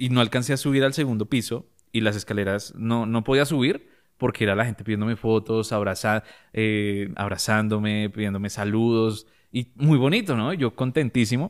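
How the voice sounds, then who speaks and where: A man speaks in a Bogotá accent at a moderate pace with medium pitch and ordinary pitch variation. The recording is very clean, with a silent background. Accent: Bogotá Colombian Spanish. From Colombia, Bogotá. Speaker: photographer and content creator. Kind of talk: interview.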